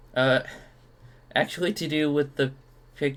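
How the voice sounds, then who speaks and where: A man's fairly high voice holds fairly level intonation while he talks at a moderate tempo. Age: 20s. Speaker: streamer reacting to online posts. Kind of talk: casual solo commentary reading comments.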